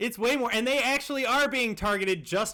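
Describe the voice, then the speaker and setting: Raised and projected, an animated voice with an American accent races along at a very fast pace, swinging very widely in pitch. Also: man. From United States. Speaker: journalist and podcaster. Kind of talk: heated debate. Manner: animated, insistent.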